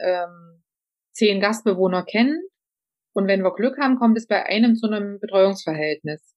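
Speaking at a moderate pace, a woman holds a medium pitch with ordinary pitch variation. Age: 40s. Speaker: social project manager. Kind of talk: interview. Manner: hesitant, many fillers.

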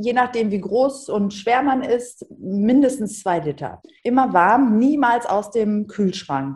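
At a fairly slow pace, a woman speaks. Her voice is somewhat breathy. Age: 50s. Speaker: TV presenter and author. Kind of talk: podcast interview. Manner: animated.

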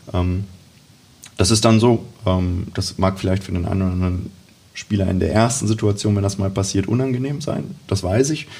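A man talks in a fairly low pitch with ordinary pitch variation. His tone is dark and mellow, and somewhat breathy. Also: moderate pace. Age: 20s. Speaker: youth football coach. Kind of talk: casual interview.

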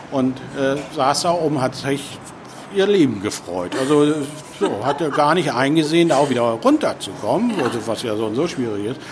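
Over noticeable background noise, a man with a fairly high pitch talks at a moderate pace with lively intonation. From Hamburg, northern Germany. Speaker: chair of a guide dog association, blind. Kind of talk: interview. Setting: restaurant.

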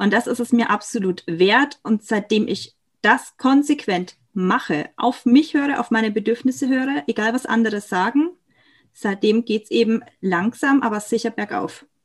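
Lively intonation and a moderate pace in a woman's somewhat breathy, fairly high voice. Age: 20s. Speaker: chronic illness patient and aspiring coach. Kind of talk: personal testimony in interview.

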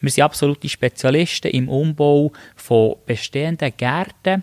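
At a fairly slow pace, the voice shows ordinary pitch variation in a dry, close sound without echo. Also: man. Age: 30s. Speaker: podcast host, master gardener and business owner. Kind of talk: podcast introduction monologue.

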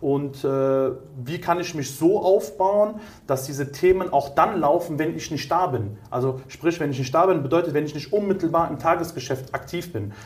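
A man talks at a moderate pace with a fairly high pitch. His pitch varies in an ordinary way, and room echo is audible. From Germany, Cologne. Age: 30s. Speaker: entrepreneur in staffing industry. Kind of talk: interview.

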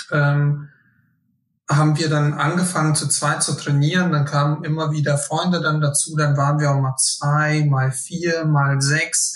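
This man's somewhat breathy voice sits fairly high in pitch, stays monotone and flat in intonation, and keeps a very even loudness. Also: fairly slow pace. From Hesse, Germany (Friedberg area). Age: 20s. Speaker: fitness group organizer. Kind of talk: casual interview.

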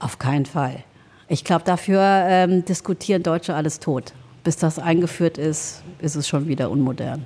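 A woman with a fairly low pitch and a dark, mellow tone speaks at a moderate pace with ordinary pitch variation. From Germany, Trier region (born in Laos). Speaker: restaurant owner. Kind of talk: interview.

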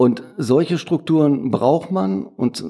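A man speaks at a very slow pace in a fairly high pitch, his dark, mellow tone carried by lively intonation. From Ruhr area, Duisburg. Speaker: print shop owner. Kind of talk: interview.

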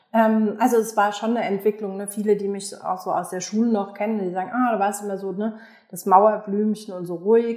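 A woman talks at a fairly quick pace with a medium pitch and fairly even intonation. She has a normal speaking voice. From Germany, Aschaffenburg (Lower Franconia). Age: 40s. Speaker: business owner. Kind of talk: interview. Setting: video call.

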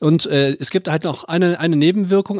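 A normal speaking voice comes at a fairly quick pace with ordinary pitch variation. The sound is dry and close, with no echo. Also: man. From Lower Rhine, western Germany. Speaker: podcast co-host. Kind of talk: casual chat.

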